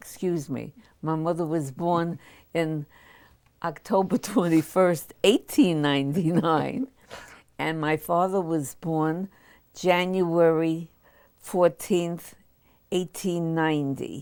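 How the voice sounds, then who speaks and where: A woman's fairly low voice in an American accent, very slow with long, frequent pauses and fairly even intonation, on a very clean recording with a silent background. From New York City. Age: 80s+. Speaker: war veteran. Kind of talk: oral history interview. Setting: studio.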